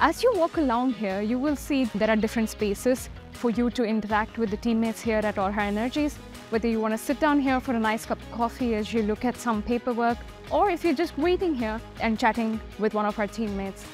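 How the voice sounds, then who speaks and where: Over clear music in the background, a woman talks at a fairly quick pace in a dry sound with no echo. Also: ordinary pitch variation. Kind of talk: guided tour presentation. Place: factory.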